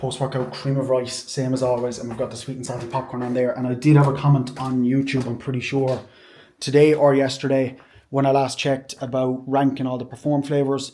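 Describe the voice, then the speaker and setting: Against noticeable background noise, a man of medium pitch talks at a fairly quick pace in a flat monotone. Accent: Irish. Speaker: fitness vlogger and bodybuilder. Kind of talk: casual vlog talk to camera. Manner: fast.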